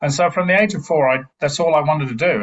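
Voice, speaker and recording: This man talks at a very fast pace. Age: 60s. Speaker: retired army officer. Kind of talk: podcast interview. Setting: podcast interview. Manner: halting, many repetitions.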